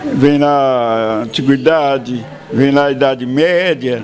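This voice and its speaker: Here a man speaks at a medium pitch. Noticeable background noise runs underneath. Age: 80s+. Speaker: author. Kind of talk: interview.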